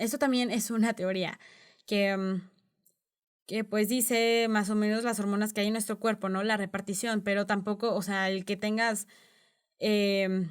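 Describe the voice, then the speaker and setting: A woman speaks in a flat monotone at a medium pitch and a fairly slow pace, with long, frequent pauses. The recording is very clean, with a silent background. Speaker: podcast host. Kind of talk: educational podcast monologue.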